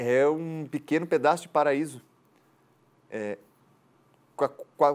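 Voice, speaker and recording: A man speaks fairly slowly in a Florianópolis accent, with a fairly high pitch and ordinary pitch variation. The recording is very clean, with a silent background. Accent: Florianópolis island. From Florianópolis, Brazil. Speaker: journalist and tour guide. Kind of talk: interview answer.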